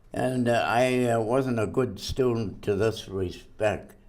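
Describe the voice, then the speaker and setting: Audible room echo surrounds a man with an American accent who speaks at a very slow pace. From Massachusetts, US. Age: 100s. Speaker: centenarian interviewee. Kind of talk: life-story interview. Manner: halting.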